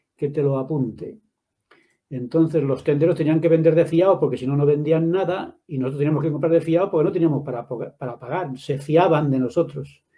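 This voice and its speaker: Fairly quick and fairly even in intonation, a man's voice comes through. It has a dark, mellow tone and is somewhat breathy. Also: fairly high pitch for a man. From Madrid, Spain. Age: 70s. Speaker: author and religion teacher. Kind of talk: interview. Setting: live video stream.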